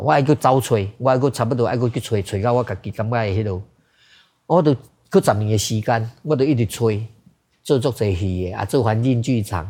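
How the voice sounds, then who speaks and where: In a Taiwanese accent, a man speaks at a medium pitch with a dark, mellow, somewhat breathy tone and ordinary pitch variation. The recording is very clean, with a silent background. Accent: Taiwanese Hokkien speaker. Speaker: theater director. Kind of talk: interview.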